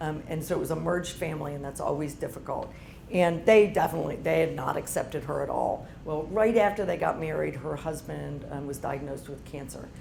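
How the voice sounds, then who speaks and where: In a room with audible echo, a woman with a very deep, low voice talks at a fairly quick pace with hardly any pauses, her loudness swinging widely while her pitch varies in an ordinary way. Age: 50s. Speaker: entrepreneur and business owner. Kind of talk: guest talk to university audience. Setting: room with live audience.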